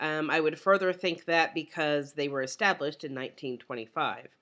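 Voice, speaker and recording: A woman speaks at a moderate pace with ordinary pitch variation. Her tone is bright and sharp. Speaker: college instructor. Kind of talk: recorded lecture. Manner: casual, many fillers.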